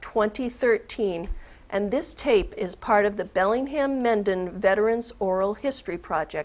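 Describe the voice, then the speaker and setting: This woman talks at a fairly slow pace. Her intonation is lively. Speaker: oral history interviewer. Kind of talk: interview questions. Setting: studio.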